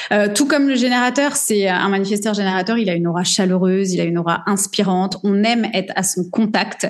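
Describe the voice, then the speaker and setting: A woman talks in a plain, everyday voice at a medium pitch with ordinary pitch variation. Her pace is fairly quick, with hardly any pauses and very even loudness. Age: 40s. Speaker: business coach. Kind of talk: interview.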